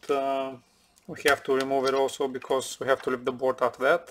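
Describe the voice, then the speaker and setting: A man speaks at a fairly quick pace with light background noise. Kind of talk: tutorial. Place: workshop.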